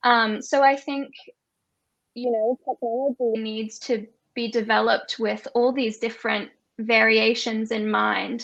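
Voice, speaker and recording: The pace is fairly slow. A woman speaks with fairly even intonation. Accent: Australian. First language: Auslan (sign language). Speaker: sign language expert. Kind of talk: panel discussion.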